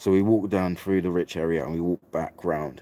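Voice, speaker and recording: A man speaks at a fairly quick pace in a very deep, low register with a dark, mellow tone. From England. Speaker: vlogger. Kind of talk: casual storytelling monologue. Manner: casual, chatty.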